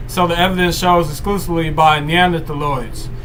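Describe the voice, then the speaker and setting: A man speaks loudly at a high pitch in a monotone, flat intonation at a moderate pace, with audible room echo and noticeable background noise. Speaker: livestream host. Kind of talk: reading aloud. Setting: live stream. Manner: halting.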